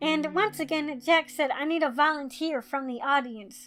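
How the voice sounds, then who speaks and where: A high-pitched woman's voice with ordinary pitch variation and music in the background. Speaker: YouTuber. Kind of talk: storytime talk to camera.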